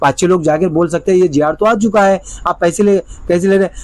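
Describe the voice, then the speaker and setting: Over noticeable background noise, a man talks in a high pitch with fairly even intonation. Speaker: lawyer and legal consultant. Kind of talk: informational video explainer.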